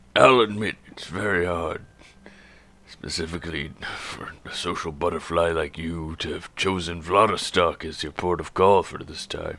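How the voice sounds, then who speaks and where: Putting on a character voice, a man speaks very deep and low with a raspy sound at a moderate pace. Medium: actual play. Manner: dry, gruff, knowing.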